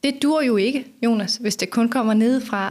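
A woman talks with ordinary pitch variation. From Denmark, northern Funen. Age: 40s. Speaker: sustainability strategist. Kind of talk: podcast interview. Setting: office.

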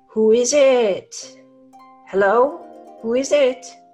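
A put-on character voice at a fairly high pitch moves at a very slow pace while faint music plays in the background.

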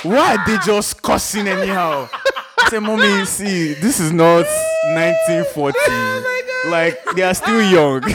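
A man talks at a very slow pace with hardly any pauses amid noticeable background noise. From Nigeria, Port Harcourt. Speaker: musician. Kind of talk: casual chat. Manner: animated.

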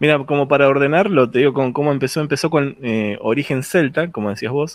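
A man with a Rioplatense accent and a fairly high voice, over a quiet background. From Argentina, Buenos Aires. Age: 40s. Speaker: podcast host. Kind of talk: casual chat. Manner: animated.

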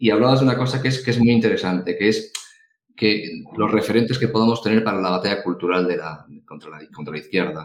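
Speaking very fast, a man at medium pitch shows ordinary pitch variation and big swings in loudness. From Galicia, Spain. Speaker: podcast co-host. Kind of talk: casual interview chat.

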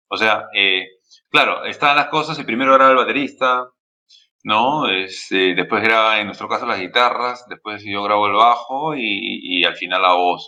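A man speaks in a normal speaking voice at medium pitch and a moderate pace, with ordinary pitch variation. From Peru. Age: 40s. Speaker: metal band bassist and vocalist. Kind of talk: interview.

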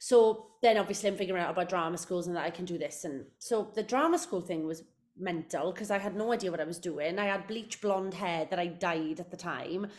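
Speaking with a South Wales accent, a woman has an animated tone and ordinary pitch variation. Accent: Welsh (South Wales). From South Wales, Port Talbot. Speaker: musical theatre actress. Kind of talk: casual interview chat.

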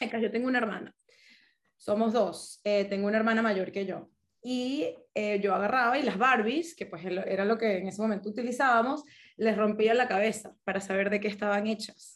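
Speaking at a moderate pace in a Caracas accent, a woman uses a fairly high pitch with ordinary pitch variation. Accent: Venezuelan Spanish (Caracas). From Venezuela, Caracas. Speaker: business consultant, engineer. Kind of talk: casual interview.

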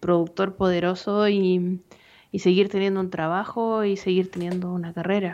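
With a Chilean accent, a woman speaks fairly slowly at a medium pitch. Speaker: film podcast co-host, economist. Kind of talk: casual chat.

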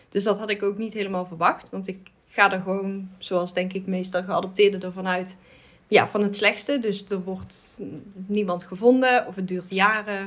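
Her intonation is monotone and flat. The woman's voice sits at medium pitch and moves at a moderate pace. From Netherlands. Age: 30s. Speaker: adoptee, advocacy group member. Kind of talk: casual conversation.

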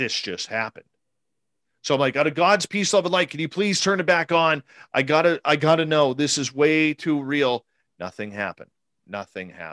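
With a Canadian accent and lively intonation, a man talks in an unremarkable speaking voice, the sound dry and close with no echo. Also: fairly high pitch for a man. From British Columbia, Canada. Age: 40s. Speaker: radio host, paranormal experiencer. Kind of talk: interview conversation.

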